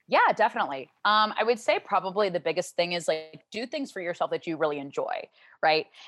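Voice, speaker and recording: A woman with an American accent talks at a fairly quick pace in a normal speaking voice, medium in pitch, with lively intonation and a dry, close sound with no echo. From US South, Louisiana (Shreveport). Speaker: corporate trainer. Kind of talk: casual interview chat. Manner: fast, filler-heavy.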